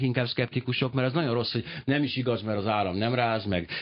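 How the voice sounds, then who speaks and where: Pitched at a medium level, a man's voice comes through somewhat breathy. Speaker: radio talk show host. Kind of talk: radio interview. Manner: fast.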